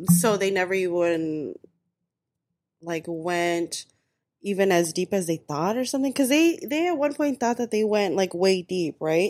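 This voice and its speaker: In a normal speaking voice of medium pitch, a woman talks at a moderate pace with lively intonation, captured in a dry, close sound with no echo. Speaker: podcast co-host. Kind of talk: casual chat.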